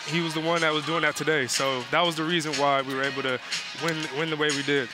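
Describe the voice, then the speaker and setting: A man talks at a very fast pace with clear music in the background. His sound is dry, with no echo. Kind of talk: interview answer. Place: stadium. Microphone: headset.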